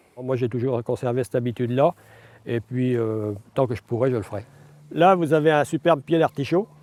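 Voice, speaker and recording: Talking at a fairly quick pace, a man with a medium pitch and ordinary pitch variation leaves long, frequent pauses. The recording is very clean over a silent background. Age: 60s. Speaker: retired farmer. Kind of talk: casual chat. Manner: hesitant, many fillers.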